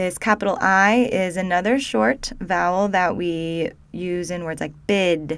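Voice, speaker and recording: At a very slow pace, a woman speaks with a Midwestern American accent. Her pitch is medium with ordinary pitch variation. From Ohio, US Midwest. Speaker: linguistics educator. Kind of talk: tutorial.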